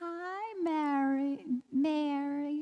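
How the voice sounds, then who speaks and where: A woman puts on a character voice pitched high. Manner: joyful, warm greeting.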